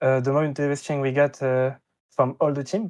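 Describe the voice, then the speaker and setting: A man speaks in a French accent. His intonation is monotone and flat. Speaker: esports player. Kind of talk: interview. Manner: halting, many fillers.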